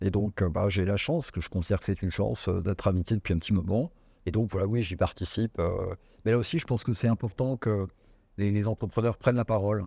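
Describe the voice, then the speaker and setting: A man's dark, mellow, somewhat breathy voice sits at fairly low pitch with ordinary pitch variation and very even loudness, at a very fast pace. The sound is dry and close with no echo, on a very clean recording with a silent background. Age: 60s. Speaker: business executive. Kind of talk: interview. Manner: hesitant, many fillers.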